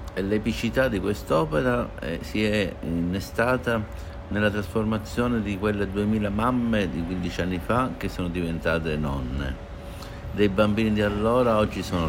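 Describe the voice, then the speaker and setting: A man with a fairly low pitch talks at a moderate pace and with lively intonation. Noticeable background noise and audible room echo fill the recording. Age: 60s. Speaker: art patron. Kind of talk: interview.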